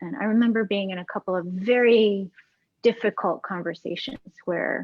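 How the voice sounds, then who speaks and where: A soft-spoken woman talks at medium pitch and a moderate pace. Her loudness swings widely, while her pitch varies in an ordinary way. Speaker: pianist. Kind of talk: casual chat.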